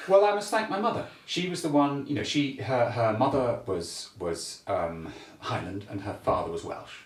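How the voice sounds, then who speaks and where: Through noticeable background noise and audible room echo, a man with a medium pitch speaks at a moderate pace, his pitch swinging very widely. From Scotland, Glasgow. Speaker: bagpiper and music historian. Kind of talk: casual interview chat. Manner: halting, many repeated words.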